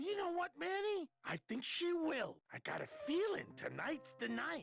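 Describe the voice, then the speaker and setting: Someone uses a put-on character voice at a high pitch and a moderate pace. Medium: video game. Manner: enthusiastic, boyish.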